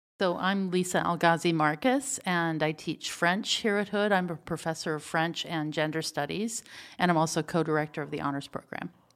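An unremarkable speaking voice from a woman with an American accent, fairly low in pitch, at a moderate pace with hardly any pauses and ordinary pitch variation, on a very clean recording with a silent background. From North Texas, Wichita Falls area. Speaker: French professor. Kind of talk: casual interview.

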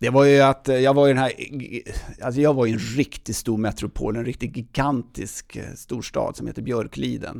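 Speaking at a moderate pace, a man with a strong Stockholm accent keeps a medium pitch and fairly even intonation. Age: 50s. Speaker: outdoor event organizer. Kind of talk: casual interview.

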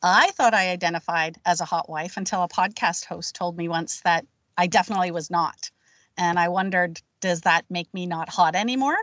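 A woman with an unremarkable speaking voice talks at a fairly quick pace. Her pitch sits fairly low, with fairly even intonation. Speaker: podcast co-host, teacher. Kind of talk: casual chat.

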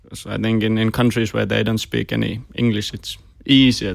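Delivered in a monotone, flat intonation with a Finnish accent, the speech comes on a very clean recording with a silent background. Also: man. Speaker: podcast host. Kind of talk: interview.

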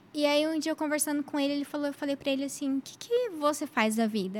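Ordinary pitch variation in a woman's high voice. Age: 30s. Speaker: lawyer. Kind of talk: casual chat.

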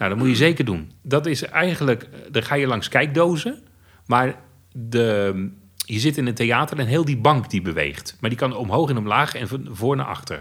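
Male speech with vocal fry, medium pitch, lively intonation and a moderate pace, in a very clean recording with a silent background. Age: 50s. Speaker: blind theme park fan. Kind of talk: interview.

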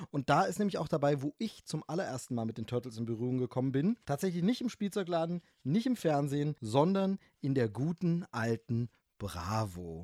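A man's fairly high voice with a dark, mellow tone and very wide pitch swings, at a moderate pace, in a very clean, dry, close recording with no echo and a silent background. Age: 40s. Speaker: film podcaster. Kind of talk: casual chat.

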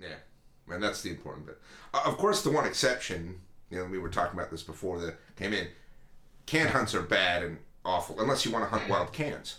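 With an American accent and a bright, sharp tone, a man speaks very deep and low at a fairly quick pace, his intonation lively, his loudness swinging widely and his pauses long and frequent. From United States. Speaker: podcast co-host. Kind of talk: casual chat.

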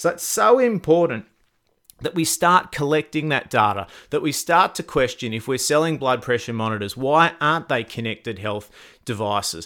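A man with an Australian accent and very wide pitch swings, on a very clean recording with a silent background. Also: fairly high pitch for a man, moderate pace. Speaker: podcast host. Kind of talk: podcast interview.

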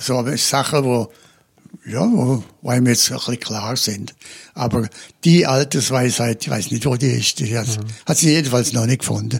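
A man talks at a fairly slow pace in a somewhat breathy voice of medium pitch, with ordinary pitch variation. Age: 80s+. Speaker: retired psychotherapist and former priest. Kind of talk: interview. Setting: his office, seated in armchairs.

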